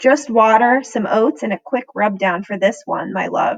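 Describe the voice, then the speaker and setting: A woman's raspy, put-on character voice, fairly high in pitch, calm in tone and moderate in pace. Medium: read story. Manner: calm, steady.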